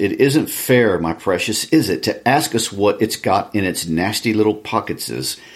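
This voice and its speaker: This is a put-on, whiny character voice at a moderate pace. Hissing can be heard. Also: man, fairly low pitch for a man. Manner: hissing, whining.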